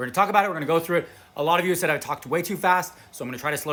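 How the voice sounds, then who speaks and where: A man speaking at a very fast pace. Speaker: fashion YouTuber. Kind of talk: casual product review vlog. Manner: animated.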